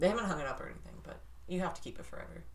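A woman speaks with an American accent. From St. Louis, Missouri. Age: 20s. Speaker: podcast co-host. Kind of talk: casual chat. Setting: studio.

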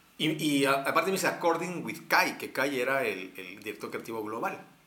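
In a central Mexican accent, a man of medium pitch speaks at a moderate pace with very wide pitch swings, audible room echo and noticeable background noise. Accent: Mexican Spanish (central Mexico). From Mexico, Texcoco. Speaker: advertising creative. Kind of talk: casual chat.

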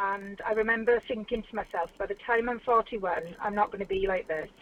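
Heard in a dry, close sound with no echo, a woman has a normal speaking voice at a fairly high pitch. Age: 40s. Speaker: model. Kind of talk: casual interview. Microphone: phone line, patchy sound.

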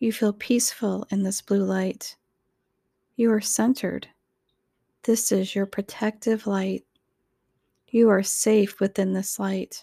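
A woman's dark, mellow, soothing and calm voice at medium pitch, flat and monotone, fairly slow with long, frequent pauses, in a very clean recording with a silent background and a dry, close sound with no echo. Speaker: guided meditation narrator. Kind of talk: guided meditation. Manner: slow, soothing, calm; gentle, repetitive, with long pauses.

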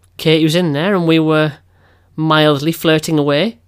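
This man has a fairly high voice and an English accent. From England. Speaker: podcast co-host. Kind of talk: casual chat.

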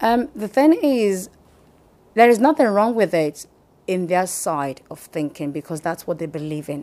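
Her tone is dark and mellow, with a Nigerian accent. This woman speaks at a fairly slow pace, her pitch swinging very widely. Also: medium pitch for a woman. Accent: Nigerian (Yoruba) English. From Nigeria (Yoruba, southwest). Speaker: hospital chaplain and business owner. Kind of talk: interview testimony. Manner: hesitant, many fillers.

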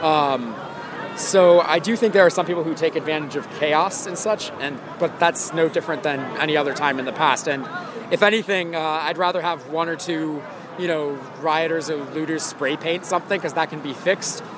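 Noticeable background noise behind a man with an American accent, fairly high in pitch, at a fairly quick pace, with fairly even intonation. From Ohio. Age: 20s. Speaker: protester interviewed on the street. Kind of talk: street interview.

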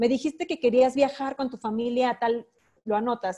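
A woman speaks at a fairly high pitch and a fairly quick pace. Her tone is dark and mellow. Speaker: sales trainer. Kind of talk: online training webinar.

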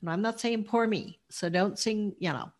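Over a quiet background, a woman with an American accent speaks somewhat breathily, her intonation lively. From Colorado, Denver. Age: 70s. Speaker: author and dancer. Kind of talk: interview testimony.

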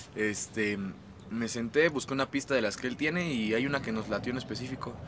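Fairly quick speech against noticeable background noise. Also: man. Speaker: rapper. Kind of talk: casual chat. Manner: casual slangy.

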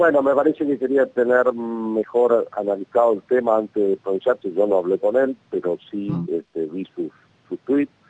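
A man with a medium pitch and a plain, everyday voice talks at a moderate pace with ordinary pitch variation, the sound dry and close with no echo. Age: 50s. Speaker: national congressman. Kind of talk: radio interview.

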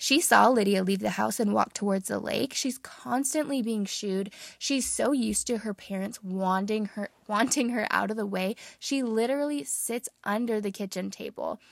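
In a very clean recording with a silent background, a normal speaking voice moves at a moderate pace, with ordinary pitch variation and hardly any pauses. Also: woman, fairly high pitch for a woman. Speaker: podcast host and book reviewer. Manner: measured, expressive storytelling delivery while reading the passage; conversational, warm, earnest.

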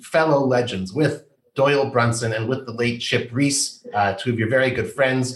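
A somewhat breathy man's voice. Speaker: podcast host. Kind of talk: interview.

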